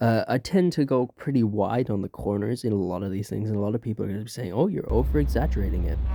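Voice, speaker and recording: Very fast and full of wide pitch swings, a man with an Irish accent speaks in a fairly low, dark, mellow voice with vocal fry. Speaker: VTuber gamer. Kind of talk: gameplay commentary voice-over. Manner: hesitant, many fillers.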